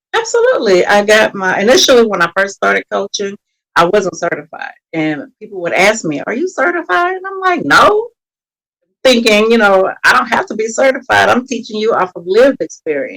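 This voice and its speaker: A woman speaks with a slight Texas accent. Her pace is fairly quick. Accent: slight Texas country twang. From Texas, Beaumont. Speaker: mental health coach. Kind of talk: podcast interview.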